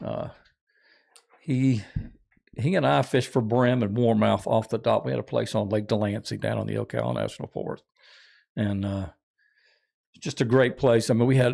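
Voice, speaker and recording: A man speaks at a fairly quick pace with a North Florida accent. He leaves long, frequent pauses. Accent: Southern US (North Florida). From North Florida, Jacksonville. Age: 60s. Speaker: outdoorsman and tournament angler. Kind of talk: casual chat.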